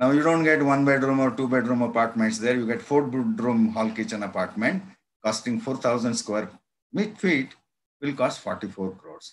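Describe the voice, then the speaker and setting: A man with an Indian accent at medium pitch and a moderate pace, with ordinary pitch variation. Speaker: physics professor. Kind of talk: lecture. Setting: video call. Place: home room. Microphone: webcam.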